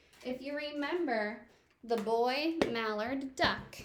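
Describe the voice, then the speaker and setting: Audible room echo surrounds a woman's high-pitched voice. She talks at a very slow pace with ordinary pitch variation. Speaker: elementary school teacher. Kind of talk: recorded classroom lesson for children.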